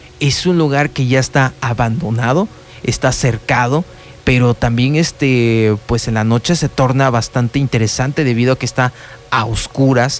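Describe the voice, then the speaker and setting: Over music in the background, a man speaks at a moderate pace and a medium pitch, his intonation fairly even and his loudness very even. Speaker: radio host. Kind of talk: radio talk show narration. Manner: hesitant, conversational.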